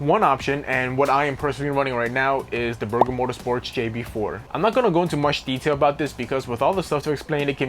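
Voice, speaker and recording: With music in the background, a man talks at a very fast pace with hardly any pauses. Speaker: car enthusiast YouTuber. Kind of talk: casual tutorial. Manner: animated.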